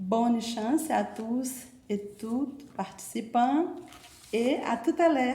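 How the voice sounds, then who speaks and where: In a Portuguese accent, a woman with a high pitch speaks at a very slow pace with long, frequent pauses, amid noticeable background noise and audible room echo. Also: ordinary pitch variation. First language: Portuguese (speaking French). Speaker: university French professor. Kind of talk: formal presentation speech. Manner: hesitant with filler pauses.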